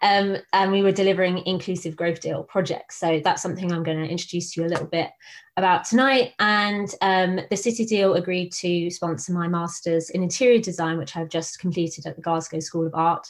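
A woman's fairly low voice with a southern English accent and hardly any pauses. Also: fairly even intonation, fairly quick pace. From southern England, Buckinghamshire. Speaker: design researcher. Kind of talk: presentation talk. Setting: video call. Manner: hesitant, many fillers.

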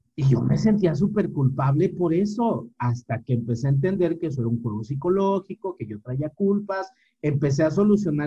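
A man talks at a moderate pace with a Mexican accent, his pitch fairly high and his intonation lively. The tone is dark and mellow, with some breathiness. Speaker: podcast co-host. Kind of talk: casual chat.

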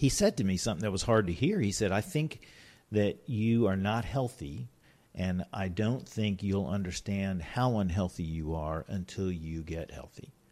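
A man's fairly low, dark, mellow voice with an American accent and lively intonation, at a moderate pace in a very clean recording with a silent background. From US South, Richmond, Virginia. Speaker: businessman. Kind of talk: casual chat.

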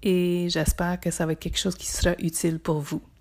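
A calm, somewhat breathy woman's voice on a very clean recording with a silent background. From northern Ontario (Témiscamingue). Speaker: psychotherapist and podcast host. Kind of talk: podcast introduction.

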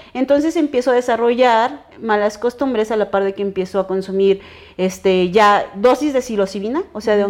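With a Mexican accent, a woman speaks at a moderate pace, her fairly high pitch showing ordinary variation. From Mexico, Veracruz and Chiapas. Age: 30s. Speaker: illustrator and cannabis blogger. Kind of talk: casual interview chat.

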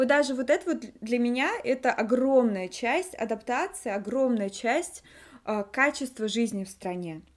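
Here a woman talks at a fairly slow pace. Her pitch is high and her intonation lively. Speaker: podcast co-host. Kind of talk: casual chat. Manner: talkative.

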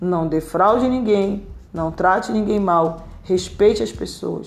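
A woman speaks with ordinary pitch variation. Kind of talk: sermon-style Bible teaching. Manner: earnest, exhorting, direct appeals to listener; repetitive, emphatic, fervent.

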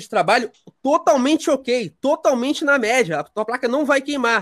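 A man talks at a fairly quick pace, his pitch extremely high. The sound is dry and close with no echo. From Rio de Janeiro, Brazil. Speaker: tech writer and editor. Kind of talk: podcast interview.

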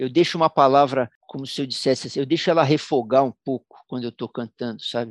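With ordinary pitch variation, a man speaks in a dry, close sound with no echo and a quiet background. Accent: São Paulo. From São Paulo, Brazil. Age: 60s. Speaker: musician. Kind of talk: interview storytelling.

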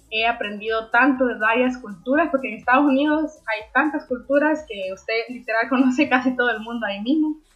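At a fairly quick pace and with hardly any pauses, a woman speaks in a high pitch. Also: ordinary pitch variation. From Honduras, Ocotepeque (western Honduras). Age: 20s. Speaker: young entrepreneur, event venue owner. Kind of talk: interview.

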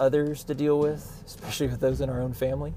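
Audible room echo surrounds a man's dark, mellow tone. He speaks at a very fast pace. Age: 40s. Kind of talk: solo devotional monologue. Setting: in a car. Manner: hesitant, many fillers.

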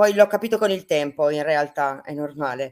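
On a very clean recording with a silent background, a woman keeps to a moderate pace. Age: 50s. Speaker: medium. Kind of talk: interview.

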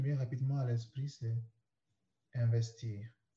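The man's tone is dark and mellow. There is a somewhat breathy quality to his voice. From Cameroon (Douala). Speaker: personal development coach. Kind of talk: interview, personal story.

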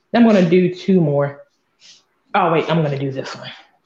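This voice belongs to a woman. She speaks with an American accent. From northeast Florida. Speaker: abstract artist. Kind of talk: interview.

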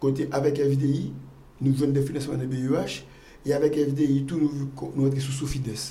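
A man speaks in a fairly high, somewhat breathy voice with a dark, mellow tone and monotone, flat intonation. Long, frequent pauses break up his speech amid audible room echo. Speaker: pharmaceutical entrepreneur. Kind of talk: interview. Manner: halting.

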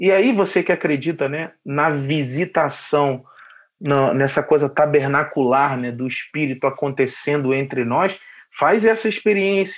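With an unremarkable speaking voice, a man talks at a fairly high pitch and a fairly slow pace with ordinary pitch variation. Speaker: podcast host. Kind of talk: casual interview chat.

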